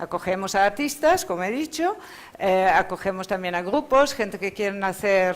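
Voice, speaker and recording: A woman with a Dutch accent, lively intonation, and a moderate pace. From Netherlands. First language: Dutch (speaking Spanish). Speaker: rural arts centre founder. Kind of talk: panel presentation. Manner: hesitant, with fillers.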